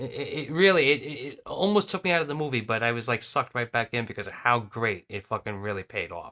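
A man with an American accent talks at a very fast pace, with hardly any pauses. His bright, sharp tone has very wide pitch swings. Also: medium pitch for a man. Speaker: podcast co-host. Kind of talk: casual chat.

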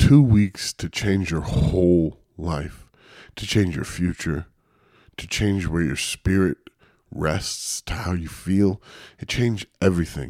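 A man talks at a very slow pace in a very deep, low pitch, his intense, dark, mellow tone carrying ordinary pitch variation in a dry, close sound with no echo. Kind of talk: pep talk. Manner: intense, urgent, emphatic; direct, earnest, profane.

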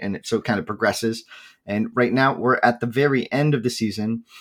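A man speaks at a moderate pace with ordinary pitch variation, in a normal speaking voice. The recording is very clean, with a silent background. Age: 20s. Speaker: esports tournament streamer and player. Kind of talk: casual interview chat.

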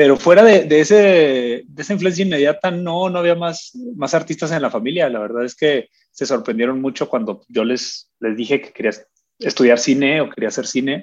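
A man at a moderate pace, fairly high in pitch, with lively intonation and big swings in loudness. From northern Mexico (Agua Prieta, Sonora). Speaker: documentary filmmaker. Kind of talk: casual interview. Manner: halting, frequent word repetitions.

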